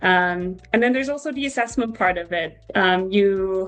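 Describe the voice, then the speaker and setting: Music plays in the background as a woman of medium pitch talks at a moderate pace with ordinary pitch variation. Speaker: psychology PhD student. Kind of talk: casual interview chat. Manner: hesitant, many fillers.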